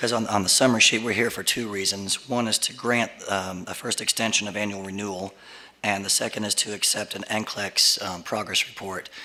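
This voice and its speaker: A man talks at a fairly quick pace in a monotone, flat delivery. Noticeable noise sits in the background. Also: fairly low pitch for a man. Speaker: lawyer. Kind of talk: public meeting testimony. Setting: speaking at podium in public meeting. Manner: halting, many fillers.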